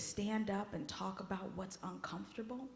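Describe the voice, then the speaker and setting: Breathy to a degree, a woman talks at a medium pitch. The room echo is audible. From US-born child of Haitian immigrants. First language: Haitian Creole. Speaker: guest worship leader. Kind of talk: personal talk in a worship service. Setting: church service. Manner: conversational, emotional.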